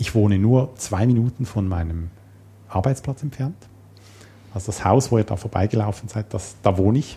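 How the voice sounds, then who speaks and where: A man's dark, mellow, somewhat breathy voice, fairly low in pitch with ordinary pitch variation, at a moderate pace with long, frequent pauses. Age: 40s. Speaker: programmer and system administrator. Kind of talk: casual interview.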